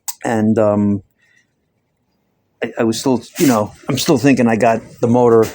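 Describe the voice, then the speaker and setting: Mumbling at a medium pitch, a man keeps his intonation fairly even. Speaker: mechanic. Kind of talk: casual talk to camera. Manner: mumbling, hesitant.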